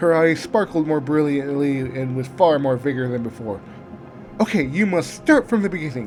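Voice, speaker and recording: A man at a fairly high pitch, lively in intonation, at a moderate pace, with music in the background. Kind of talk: fanfiction audiobook reading. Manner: occasional stutters and pauses.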